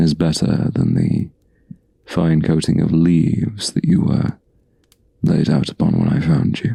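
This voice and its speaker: In a put-on character voice, a man sounds gruff and soft-spoken, with very deep, low pitch and ordinary pitch variation. He keeps a moderate pace broken by long, frequent pauses. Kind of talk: ASMR roleplay.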